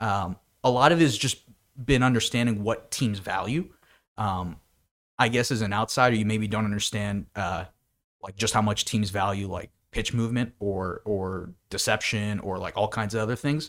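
The recording is very clean, with a silent background. A man with a normal speaking voice and an American accent talks at a moderate pace, fairly low in pitch, with ordinary pitch variation. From Pennsylvania (Bethlehem). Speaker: data science intern, student. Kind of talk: casual chat.

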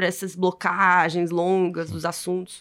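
A woman's medium-pitched voice with a Brazilian accent. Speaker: podcast host and film presenter. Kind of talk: casual chat.

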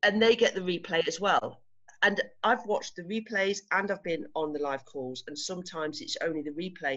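In an English accent, a woman speaks fairly quickly at medium pitch with lively intonation. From England. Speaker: retreat organiser and coaching client. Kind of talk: interview. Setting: video call.

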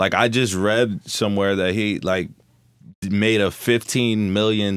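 A man speaks at a fairly slow pace with a fairly low pitch and fairly even intonation. It is an unremarkable speaking voice. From Newark, New Jersey. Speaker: musician. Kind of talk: casual chat.

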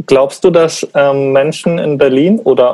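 A man with a fairly high voice speaks at a very slow pace, his intonation fairly even. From Bavaria, Munich. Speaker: podcast host. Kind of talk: interview conversation.

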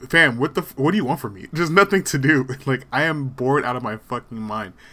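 A man's bright, sharp, medium-pitched voice at a fairly quick pace, with lively intonation and hardly any pauses. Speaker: podcast host. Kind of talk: casual banter podcast. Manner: confident, joking.

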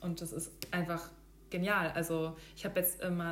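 With audible room echo, a woman speaks in a monotone, flat intonation at a fairly low pitch. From Hesse, Germany (near Darmstadt). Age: 30s. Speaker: product manager and vegan food blogger. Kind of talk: casual interview chat.

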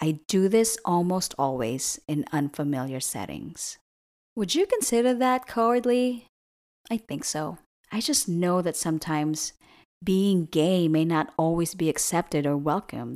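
Speaking at a fairly slow pace with an American accent, a woman with a fairly low pitch makes very wide pitch swings on a very clean recording with a silent background. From outside the US. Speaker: podcast host. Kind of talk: scripted narration.

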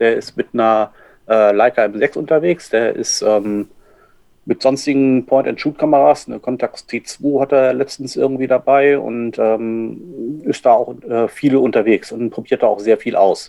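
At a fairly slow pace, a man speaks in a normal speaking voice of medium pitch with ordinary pitch variation. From northern Germany. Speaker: photographer. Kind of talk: casual chat. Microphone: poor sound quality, can microphone.

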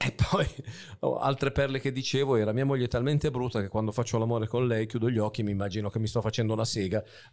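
A man speaks at a very fast pace in a medium pitch, his intonation fairly even. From northern Italy, Varese area. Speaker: comedian and podcast host. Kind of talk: casual chat.

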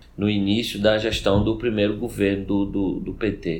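A man with a fairly low pitch speaks, and room echo can be heard. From Recife, northeastern Brazil. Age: 40s. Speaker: law professor and government official. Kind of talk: podcast interview.

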